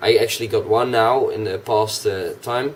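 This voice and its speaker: Noticeable background noise accompanies a man talking in a Dutch accent. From Netherlands. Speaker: gaming YouTuber. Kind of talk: casual vlog. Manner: hesitant, many fillers. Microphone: cheap microphone.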